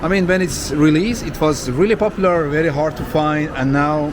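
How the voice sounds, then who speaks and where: A man with a non-native accent and a fairly high pitch for a man talks at a moderate pace, with audible room echo and noticeable background noise. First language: not English. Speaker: vlogger. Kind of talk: walking tour vlog. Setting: shopping mall. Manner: animated.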